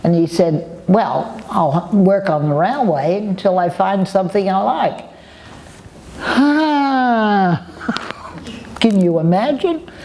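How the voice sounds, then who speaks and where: A woman at a medium pitch speaks at a very slow pace with long, frequent pauses, very wide pitch swings and very even loudness, with noticeable background noise behind her. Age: old. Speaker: war bride. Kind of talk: interview answer.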